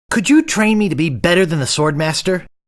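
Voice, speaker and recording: A put-on character voice at a middle pitch moves along at a fairly quick pace. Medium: video game. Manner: earnest, wry.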